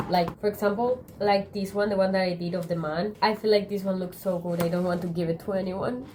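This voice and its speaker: Over noticeable background noise, a woman with a Spanish accent talks at a fairly quick pace with hardly any pauses, medium pitch and fairly even intonation. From Spain. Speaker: YouTuber. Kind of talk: casual chat.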